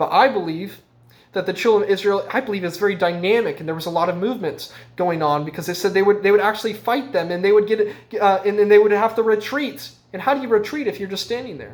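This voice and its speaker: Speaking at a very fast pace, a man uses a high pitch with ordinary pitch variation. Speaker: Bible teacher. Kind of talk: Bible teaching. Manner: halting, many fillers.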